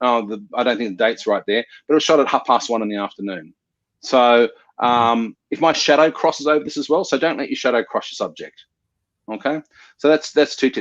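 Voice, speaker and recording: The speaker has an ordinary speaking voice. The pace is fairly quick. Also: man, quiet background. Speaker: photographer. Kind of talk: online workshop presentation.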